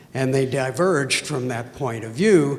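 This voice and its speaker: Medium pitch from a male speaker, with noticeable background noise. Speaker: audience member asking question. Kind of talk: audience Q&A.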